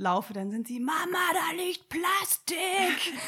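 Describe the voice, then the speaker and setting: A woman's voice moves through very wide pitch swings. Noticeable background noise is present. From northern Germany, Sylt. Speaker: environmental initiative organizer. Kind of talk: casual interview.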